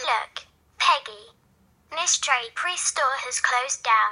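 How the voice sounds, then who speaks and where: A woman puts on a character voice at a high pitch and a fairly slow pace. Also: ordinary pitch variation. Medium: read story.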